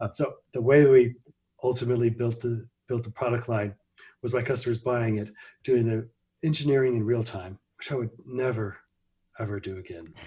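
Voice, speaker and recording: Long, frequent pauses break up a man's fairly quick, somewhat breathy speech, delivered at medium pitch in a dark, mellow tone with an American accent. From US Midwest (Missouri, Ohio). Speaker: computer company founder. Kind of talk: interview. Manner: halting, many fillers.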